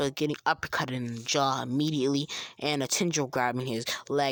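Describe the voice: Intonation stays fairly even through this plain reading aloud.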